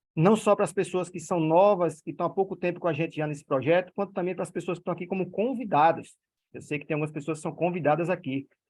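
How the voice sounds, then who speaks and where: A man with a northeastern Brazilian accent, high in pitch, at a fairly quick pace against a quiet background. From Northeast Brazil. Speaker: direct-sales network leader. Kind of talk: online meeting presentation. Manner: animated.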